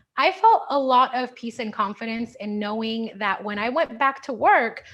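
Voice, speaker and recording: A woman's fairly high-pitched, unremarkable speaking voice with ordinary pitch variation. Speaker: hair stylist and product educator. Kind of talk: webinar presentation. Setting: video call.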